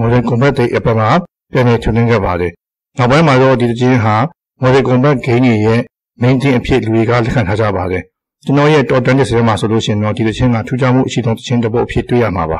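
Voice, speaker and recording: Here a man with an unremarkable speaking voice talks at a medium pitch with ordinary pitch variation and big swings in loudness. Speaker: video game hobbyist. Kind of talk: scripted narration. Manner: formal.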